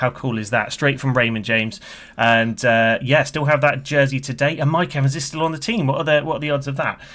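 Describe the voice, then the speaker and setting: Speaking at a fairly quick pace, a man with a British accent has a fairly high pitch and a bright, sharp tone. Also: ordinary pitch variation. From UK.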